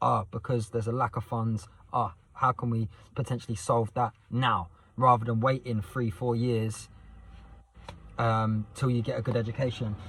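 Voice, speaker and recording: A man's somewhat breathy, medium-pitched voice. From southern England, Southend, Essex. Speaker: youth mentor and vlogger. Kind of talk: casual vlog monologue. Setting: night time, next to sleeping son on estate. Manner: fast; animated.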